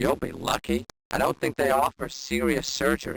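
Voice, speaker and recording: A man performs a put-on character voice at a moderate pace. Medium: video game. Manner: wisecracking, dry.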